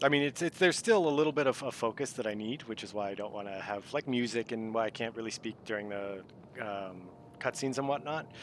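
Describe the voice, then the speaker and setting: Speaking very fast with a slight East Coast accent, a man keeps a medium pitch and ordinary pitch variation. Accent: subtle East Coast. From US Southwest (Arizona). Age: 40s. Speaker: video game streamer. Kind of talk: casual chat.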